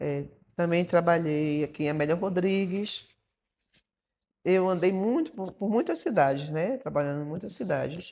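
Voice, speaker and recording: A woman's fairly low voice at a moderate pace, with ordinary pitch variation and long, frequent pauses, over a quiet background. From Brazil, Bahia (Feira de Santana). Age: 60s. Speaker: dancer and choreographer. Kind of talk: documentary interview. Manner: conversational, frequent fillers.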